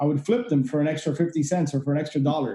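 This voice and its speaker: This man has a fairly high pitch and a dark, mellow tone. He speaks with an American accent and ordinary pitch variation. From Miami, Florida (Cuban family). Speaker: real estate investor and podcast host. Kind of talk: interview. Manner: many fillers (uh, you know).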